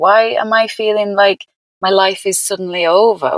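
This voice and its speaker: Recorded with a dry, close sound and no echo, a woman speaks at a fairly high pitch with a Lancashire accent. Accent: northern English (Lancashire). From northern England, Burnley. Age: 50s. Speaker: yoga teacher and counsellor. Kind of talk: podcast interview, casual chat.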